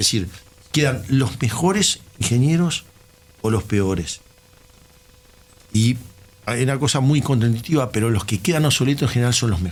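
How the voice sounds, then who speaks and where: Against noticeable background noise, a man with a Uruguayan accent speaks at a moderate pace, his medium-pitched voice lively in intonation and very even in loudness, with long, frequent pauses. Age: 60s. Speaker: systems engineer. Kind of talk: casual chat.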